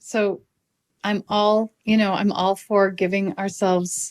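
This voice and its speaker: Very slowly and in a monotone, flat delivery, a woman speaks on a very clean recording with a silent background and a dry, close sound with no echo. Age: 60s. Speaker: podcast host and life coach. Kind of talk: casual chat. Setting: podcast interview.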